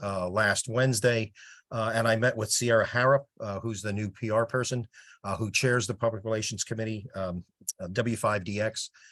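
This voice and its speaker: Against a quiet background, a man talks with fairly even intonation in a New Jersey accent. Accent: New Jersey (US Northeast). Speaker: project volunteer with sales background. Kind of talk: casual meeting update. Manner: fast.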